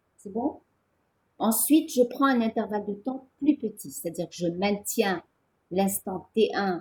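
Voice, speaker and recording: A woman's medium-pitched, somewhat breathy voice with lively intonation and a dark, mellow tone. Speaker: physics teacher. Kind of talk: lecture.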